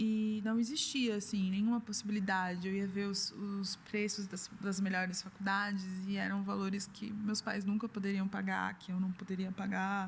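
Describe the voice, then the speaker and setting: A somewhat breathy woman with a São Paulo accent, medium pitch, moderate pace and monotone, flat intonation. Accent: Brazilian Portuguese, São Paulo (paulistano). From Brazil, São Paulo. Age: 30s. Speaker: artist and gallery founder. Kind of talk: interview.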